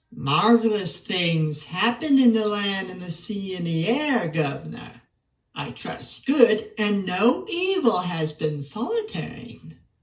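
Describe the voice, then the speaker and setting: The voice is a put-on character voice. It sits at a middle pitch and proceeds at a fairly slow pace. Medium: audio drama. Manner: polite, deferential.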